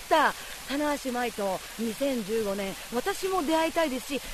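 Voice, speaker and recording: A woman talks with lively intonation at a fairly high pitch. Noticeable background noise runs behind her. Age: 30s. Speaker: travel show reporter. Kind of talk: travel show narration and reactions. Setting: outdoors on location. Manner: animated.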